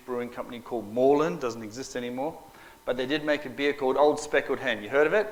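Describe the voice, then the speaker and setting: A man with an Australian accent, medium pitch and ordinary pitch variation. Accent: Australian twang. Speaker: minister and mission director. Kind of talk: talk to an audience. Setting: talk to a live audience. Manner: casual, humorous.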